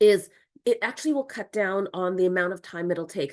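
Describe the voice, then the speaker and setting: A woman with an ordinary speaking voice, fairly quick pace and ordinary pitch variation, against a quiet background. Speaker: online course instructor. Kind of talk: tutorial.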